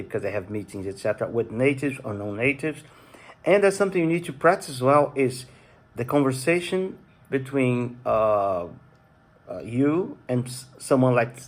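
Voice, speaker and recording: This man speaks at a moderate pace with a medium pitch and lively intonation. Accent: non-native. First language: Portuguese. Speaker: YouTuber. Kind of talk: casual vlog talk. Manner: halting.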